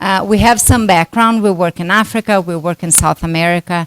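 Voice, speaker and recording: With a Brazilian Portuguese accent, a woman speaks at a moderate pace in a fairly low pitch and fairly even intonation, the sound dry and close with no echo. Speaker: doctor, workshop moderator. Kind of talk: conference talk.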